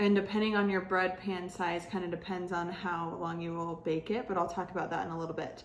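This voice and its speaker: A woman speaks at a fairly quick pace with hardly any pauses, her fairly low voice flat and monotone against audible room echo. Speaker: teacher. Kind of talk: tutorial. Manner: casual, filler-heavy.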